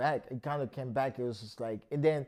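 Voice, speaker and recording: Over a quiet background, a man with a fairly high pitch and a dark, mellow tone talks at a fairly quick pace. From France, Paris. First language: French. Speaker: rapper and painter. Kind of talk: interview.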